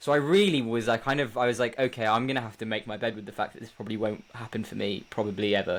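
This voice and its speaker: On a very clean recording with a silent background, a medium-pitched man speaks at a very fast pace with hardly any pauses and big swings in loudness. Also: fairly even intonation. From South Africa, Western Cape. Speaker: musical theatre performer. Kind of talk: interview.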